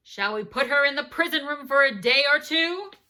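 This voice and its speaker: This is a put-on character voice with a high pitch, delivered at a moderate pace. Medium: read story. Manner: gruff, stern.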